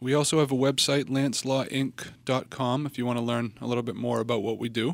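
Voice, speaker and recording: A man has an unremarkable speaking voice at a medium pitch, with fairly even intonation and a fairly quick pace. The recording is very clean with a silent background. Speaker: estate planning attorney. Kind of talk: radio interview. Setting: studio.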